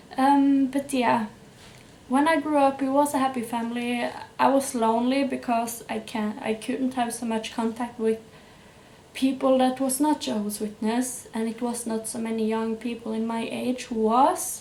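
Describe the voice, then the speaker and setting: Spoken in a Norwegian accent, the delivery keeps a moderate pace and fairly even intonation. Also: woman, high pitch for a woman. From Norway. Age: 20s. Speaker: YouTuber. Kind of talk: personal testimony. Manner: hesitant, with fillers.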